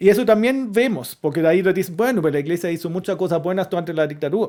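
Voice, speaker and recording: A man's high-pitched voice at a very fast pace. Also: ordinary pitch variation. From Germany. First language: German (speaking Spanish). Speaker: historian and university lecturer. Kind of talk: interview conversation. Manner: halting, with frequent repetitions.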